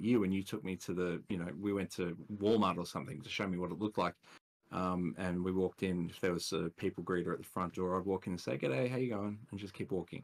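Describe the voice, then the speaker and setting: In a very clean recording with a silent background, a man with an Australian accent speaks very fast in a very deep, low pitch. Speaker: podcast guest. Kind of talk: casual chat.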